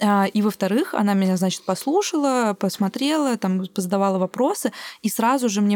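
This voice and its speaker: An unremarkable speaking voice at a moderate pace, in a very clean, dry, close recording with no echo and a silent background. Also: woman. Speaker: podcast host and producer. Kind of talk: casual interview.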